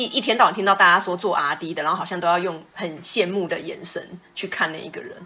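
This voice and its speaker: Over music in the background, a woman talks very fast with hardly any pauses, her medium pitch showing ordinary variation and her loudness swinging widely. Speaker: podcast co-host. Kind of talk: casual chat.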